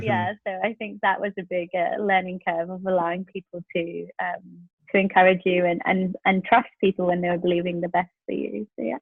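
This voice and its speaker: Speaking at a moderate pace with hardly any pauses, a woman with a South London accent has a fairly low pitch and ordinary pitch variation. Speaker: pastor. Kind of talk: podcast interview answer.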